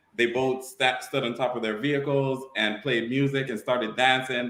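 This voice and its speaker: A man at a medium pitch with an American accent, in audible room echo. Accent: Virgin Islands accent, sometimes comes out. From US Virgin Islands (Saint Thomas). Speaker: car show event promoter. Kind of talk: casual interview.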